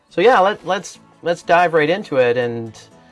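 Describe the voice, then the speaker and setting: Music is playing behind the voice. A man's pitch swings very widely as he talks. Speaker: podcast host, martial arts gym owner. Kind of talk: podcast interview host. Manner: friendly, enthusiastic.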